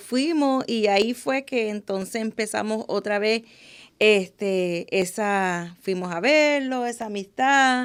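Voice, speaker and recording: A woman with an English accent at a very slow pace, with ordinary pitch variation, in a very clean recording with a silent background. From Buffalo, New York. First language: English (speaking Spanish). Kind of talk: testimony.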